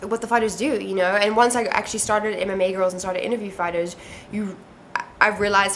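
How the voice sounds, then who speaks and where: Over noticeable background noise and audible room echo, a woman speaks at a medium pitch with ordinary pitch variation. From South Africa. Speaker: MMA interviewer and video blogger. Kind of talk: casual self-recorded video interview. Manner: casual, many fillers and restarts.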